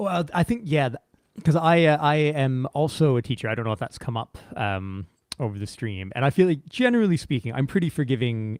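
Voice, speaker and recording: With a Canadian accent and an unremarkable speaking voice, a man talks at a moderate pace and medium pitch with lively intonation, recorded dry and close with no echo. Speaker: teacher and show host. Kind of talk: casual chat. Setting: live stream.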